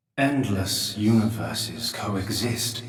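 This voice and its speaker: A man's put-on character voice, medium in pitch, fairly slow, with fairly even intonation and a slight echo. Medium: video game. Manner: slow, grave, measured.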